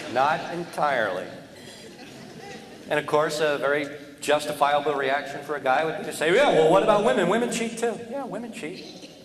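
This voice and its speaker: A man with an American accent speaks at a moderate pace with a fairly high pitch, lively intonation and long, frequent pauses. Audible room echo and noticeable background noise are present. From US Northeast, New Jersey. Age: 40s. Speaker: comedian. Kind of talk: stand-up.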